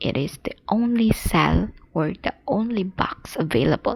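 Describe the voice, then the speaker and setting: A soft-spoken voice with a non-native accent goes along at a very slow pace. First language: not English. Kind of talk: soft-spoken ASMR puzzle-solving narration. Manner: soft-spoken, slow.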